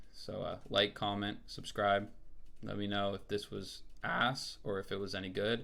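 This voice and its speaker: At a moderate pace, a man talks in a bright, sharp tone with a fairly low pitch and flat, monotone intonation. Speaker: music producer and rapper. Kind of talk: tutorial. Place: home room.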